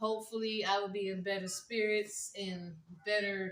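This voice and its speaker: Soft-spoken and fairly slow, the voice has a bright, sharp tone and a monotone, flat intonation. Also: woman. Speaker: vlogger. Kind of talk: casual vlog.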